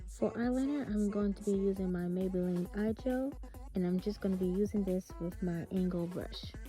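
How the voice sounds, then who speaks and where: There is music in the background as a woman with an American accent speaks at a moderate pace. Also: medium pitch for a woman, ordinary pitch variation. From South Carolina. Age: 20s. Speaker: esthetician. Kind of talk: makeup tutorial talk to camera. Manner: friendly, casual.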